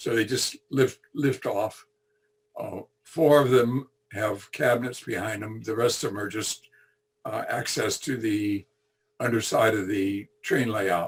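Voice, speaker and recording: A man speaks fairly slowly in a somewhat breathy, medium-pitched voice with fairly even intonation. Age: 80s+. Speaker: retired electrical engineer, model railroad hobbyist. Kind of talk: presentation (virtual clinic). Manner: halting, many fillers and repetitions.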